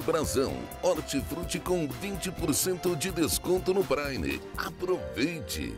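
Over background music, a man speaks very slowly. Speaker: announcer. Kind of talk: TV sponsorship spot read.

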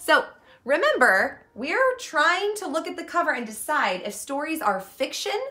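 A woman talks fairly slowly. Nothing much is heard behind her. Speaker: teacher. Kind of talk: storytime lesson for children. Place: home room. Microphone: camera far.

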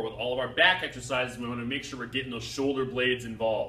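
A man is heard with audible room echo. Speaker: personal trainer. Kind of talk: tutorial. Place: gym. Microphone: camera far.

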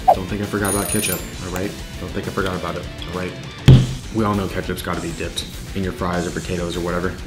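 Loud music plays in the background as a man speaks at a very fast pace. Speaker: food challenge creator. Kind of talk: casual vlog chat. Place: kitchen.

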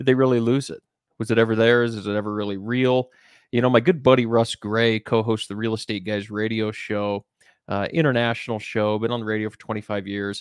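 A man talks at a moderate pace with ordinary pitch variation. The sound is dry with no echo, and the background is quiet. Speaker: investment company host. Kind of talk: commentary. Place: home room. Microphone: studio mic.

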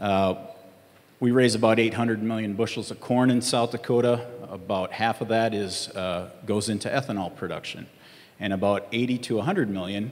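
The man speaks at a moderate pace. His intonation stays fairly even. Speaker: panelist. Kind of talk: panel answer. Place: stage. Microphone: handheld.

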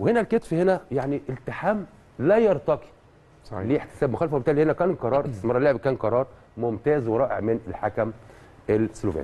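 Fairly quick and medium-pitched, a man speaks in a dark, mellow tone with very wide pitch swings. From Egypt. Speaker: refereeing analyst. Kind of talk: TV match analysis. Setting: studio. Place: studio.

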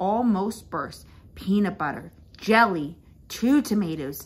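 It's a natural reading voice throughout.

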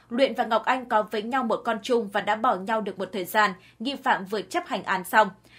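The recording is very clean, with a silent background. A woman with an unremarkable speaking voice talks at a fairly high pitch with ordinary pitch variation. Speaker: news narrator. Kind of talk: news reading. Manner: formal.

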